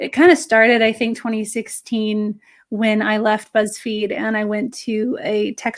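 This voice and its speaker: In an American accent, a woman speaks at a fairly slow pace and fairly high pitch with fairly even intonation on a very clean recording with a silent background. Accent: American accent, still noticeable. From California. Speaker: editor and journalist, author. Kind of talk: interview.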